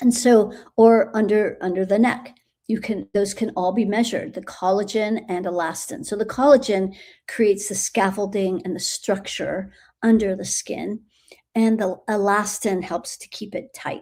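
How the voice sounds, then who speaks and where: The dark, mellow tone holds fairly even intonation at a moderate pace, with big swings in loudness in a very clean recording with a silent background. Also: woman, medium pitch for a woman. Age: 70s. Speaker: spiritual energy coach and longevity mentor. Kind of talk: live stream Q&A. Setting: live video stream. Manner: halting, with many fillers.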